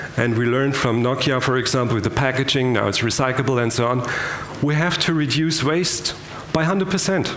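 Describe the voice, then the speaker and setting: In a German accent, this speaker talks at a moderate pace with fairly even intonation, audible room echo and light background noise. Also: man. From Germany. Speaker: business innovator. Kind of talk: keynote speech. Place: hall.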